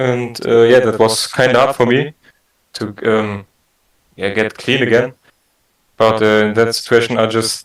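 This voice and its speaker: Using monotone, flat intonation, a man speaks at a fairly slow pace. His pitch is medium. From Germany. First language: German. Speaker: prank caller in online support meeting. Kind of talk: staged personal testimony. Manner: halting.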